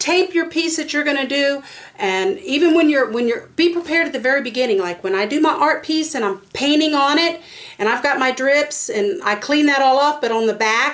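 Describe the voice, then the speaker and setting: With noticeable background noise, a woman with a Southern US accent speaks fairly quickly in a high voice with lively intonation. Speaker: resin artist and craft video maker. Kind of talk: tutorial. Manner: fast; casual, chatty with fillers.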